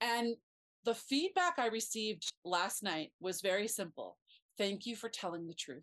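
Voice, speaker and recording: A woman's fairly high voice, a normal speaking voice, with lively intonation at a moderate pace, dry, close sound with no echo and a quiet background. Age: 50s. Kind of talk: casual chat.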